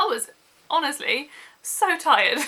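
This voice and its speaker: A woman's raised, projected voice in a British accent, over noticeable background noise. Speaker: book vlogger. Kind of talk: casual vlog.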